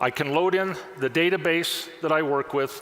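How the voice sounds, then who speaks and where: There is noticeable background noise. Through it, a man speaks at a moderate pace. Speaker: software product specialist. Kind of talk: conference product demo. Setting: stage with audience.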